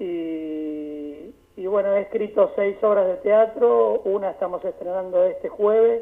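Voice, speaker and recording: The speech moves at a fairly slow pace with hardly any pauses. Pitch variation is ordinary. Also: man, high pitch for a man. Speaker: writer, playwright and doctor. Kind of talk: interview.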